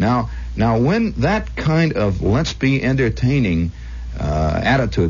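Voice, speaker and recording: A man with an American accent at a fairly slow pace, very wide pitch swings, and noticeable background noise. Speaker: radio host. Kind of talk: late-night radio monologue. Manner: conversational, storytelling.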